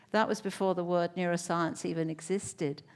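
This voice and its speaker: A woman with an English accent talks at a moderate pace, medium in pitch with ordinary pitch variation. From England. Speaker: neuroscientist. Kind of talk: panel discussion.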